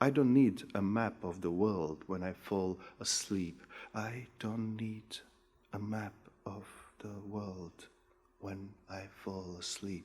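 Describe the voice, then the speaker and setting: A man with a fairly low pitch goes at a very slow pace, using fairly even intonation and long, frequent pauses. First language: Macedonian. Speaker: poet. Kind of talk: poetry reading.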